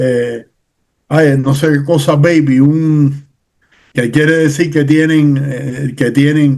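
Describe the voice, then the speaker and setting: Very slowly and in a monotone, flat intonation, a man talks at a fairly high pitch. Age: 60s. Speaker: political commentator. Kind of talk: casual chat. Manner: halting.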